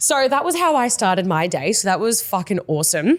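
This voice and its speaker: Animated in tone, a woman with an Australian accent speaks with very wide pitch swings. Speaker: podcast co-host and mindset coach. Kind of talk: casual chat. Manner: fast.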